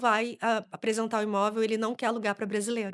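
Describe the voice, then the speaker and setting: The recording is very clean, with a silent background. A woman speaks at a fairly quick pace with a fairly high pitch. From Brazil. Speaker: immigration lawyer. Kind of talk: podcast interview. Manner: animated.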